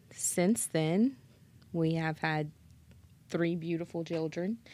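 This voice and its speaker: On a very clean recording with a silent background, a woman with a fairly low voice talks at a very slow pace. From south Louisiana (Schriever). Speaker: bereaved parent, case manager. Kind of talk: podcast interview.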